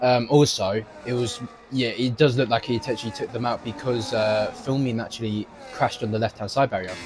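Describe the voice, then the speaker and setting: The voice moves at a fairly quick pace with fairly even intonation over noticeable background noise. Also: man, medium pitch for a man. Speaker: sim racing co-commentator. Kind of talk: live commentary.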